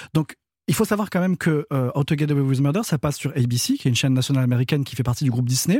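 A man with a fairly high pitch speaks at a fairly quick pace in a dark, mellow tone. The recording is very clean with a silent background, and the sound is dry and close with no echo. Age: 30s. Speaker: guest commentator. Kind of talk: casual chat. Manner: halting.

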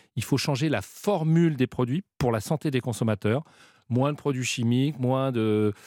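On a very clean recording with a silent background and a dry, close sound with no echo, a man of medium pitch speaks at a fairly slow pace in a dark, mellow tone, with ordinary pitch variation and very even loudness. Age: 40s. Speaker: retail group executive. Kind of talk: radio interview.

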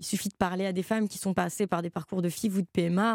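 Speech comes at a very fast pace in a dry, close sound with no echo, on a very clean recording with a silent background. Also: woman. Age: young. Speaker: novelist. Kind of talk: interview.

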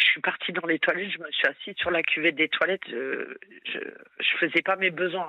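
With hardly any pauses, a woman keeps to a moderate pace. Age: 40s. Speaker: social worker, caller. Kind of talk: phone-in confession. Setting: phone call from work.

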